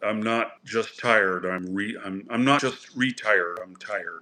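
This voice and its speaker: A man speaks at a fairly slow pace with a fairly low pitch. His tone is bright and sharp. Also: very clean recording, silent background. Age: 60s. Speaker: expat YouTuber. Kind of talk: live stream chat reading viewer comments. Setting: live stream on camera. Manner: casual, halting with fillers.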